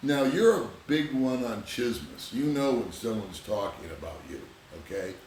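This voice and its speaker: Amid noticeable background noise and audible room echo, a man speaks at a moderate pace and medium pitch, with lively intonation and big swings in loudness. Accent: American. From Southern California. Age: 60s. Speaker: vlogger. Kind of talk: casual chat.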